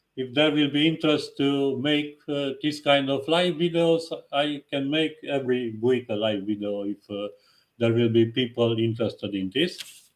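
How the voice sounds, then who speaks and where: This man talks at a moderate pace in a fairly high voice with a strong non-native accent and ordinary pitch variation. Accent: strong foreign. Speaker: tarot reader. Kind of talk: live stream talk. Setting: live video stream. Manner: halting.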